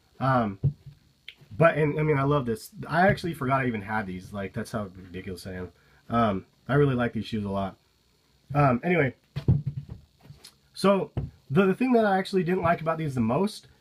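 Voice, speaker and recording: A man speaks at medium pitch in a somewhat breathy voice, with very wide pitch swings. Long pauses come often. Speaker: sneaker reviewer. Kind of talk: casual talk to camera.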